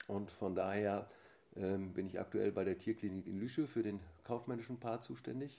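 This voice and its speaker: Pitch moves up and down by a normal amount. The voice has a dark, mellow tone. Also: man, fairly low pitch for a man, moderate pace. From Germany, Ruhr area (Essen). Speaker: equestrian team chef and sports official. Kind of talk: interview. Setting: at his home.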